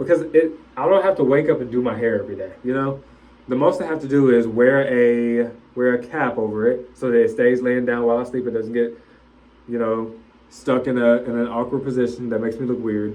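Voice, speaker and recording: A loud man with fairly even intonation, against noticeable background noise. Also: medium pitch for a man, fairly quick pace. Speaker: vlogger. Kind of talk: casual vlog monologue. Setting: bathroom, self-recorded.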